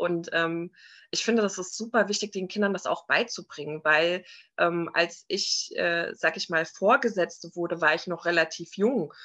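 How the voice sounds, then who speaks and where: Set against a quiet background, a woman with a fairly low pitch speaks at a moderate pace in a bright, sharp tone, her pitch varying in an ordinary way. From Frankfurt am Main, Hesse. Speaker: entrepreneur and mother. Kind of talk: interview.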